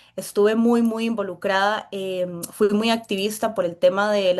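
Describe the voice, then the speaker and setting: A woman with a Costa Rican accent speaks at a moderate pace. Her pitch is medium, and the background is quiet. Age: 20s. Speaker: political candidate. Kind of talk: interview.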